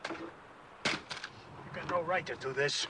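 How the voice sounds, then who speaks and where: Doing a put-on character voice with a Western US accent, a man sounds raspy at a fairly high pitch over clear background noise. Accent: rural Western drawl. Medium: short film. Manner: blunt, curt.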